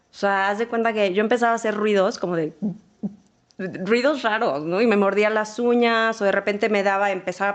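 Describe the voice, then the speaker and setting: Her intonation stays fairly even. The woman talks at a fairly quick pace and a medium pitch. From Mexico, Sonora (Ciudad Obregón). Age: 40s. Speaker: marketing executive. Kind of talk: interview testimony.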